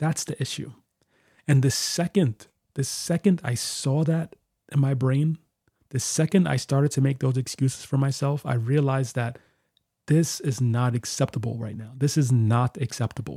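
The sound is dry and close with no echo as a man speaks at a moderate pace and medium pitch. His tone is dark and mellow, somewhat breathy, with ordinary pitch variation. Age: 30s. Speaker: podcast host and guitarist. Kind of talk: solo podcast monologue. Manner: casual, conversational with fillers.

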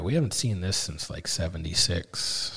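At a moderate pace, a man with an Upper Midwest accent speaks in a very deep, low, somewhat breathy voice on a very clean recording with a silent background. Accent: Upper Midwest American. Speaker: farmer. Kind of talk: casual chat. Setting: on location.

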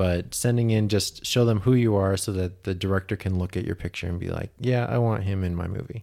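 Using a Utah accent, a man talks fairly quickly in a dark, mellow tone, his fairly low pitch showing ordinary variation. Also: hardly any pauses. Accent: American, Utah. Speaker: freelance animator and graphic designer. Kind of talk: interview.

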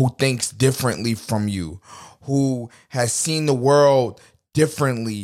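A man talks with fairly even intonation at a medium pitch. Nothing but silence surrounds the very clean recording. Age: 20s. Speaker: podcast host. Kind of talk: casual monologue.

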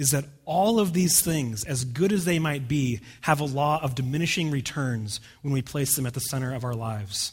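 In a very clean recording with a silent background, a man speaks with a West Coast US accent at a moderate pace. His fairly high, somewhat breathy voice has lively intonation. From US, rural Oregon. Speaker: pastor. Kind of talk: sermon. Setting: church.

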